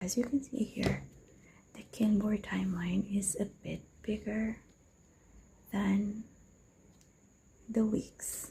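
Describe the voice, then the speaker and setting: A woman's soft-spoken, dark, mellow voice with vocal fry, fairly even intonation, big swings in loudness, long and frequent pauses and a very slow pace. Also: medium pitch for a woman. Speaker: planner hobby vlogger. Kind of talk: casual tutorial. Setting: at home near bedroom.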